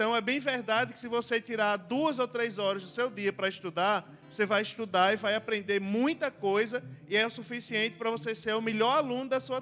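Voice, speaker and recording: A man with a high pitch and ordinary pitch variation, at a fairly quick pace, with music in the background. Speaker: preacher answering audience questions. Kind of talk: Q&A talk at church youth event.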